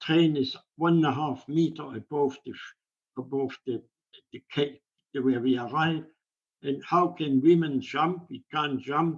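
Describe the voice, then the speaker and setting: A man with a German accent, fairly high in pitch, fairly even in intonation, at a fairly slow pace. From Germany. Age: 80s+. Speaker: Holocaust survivor. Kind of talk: interview answer.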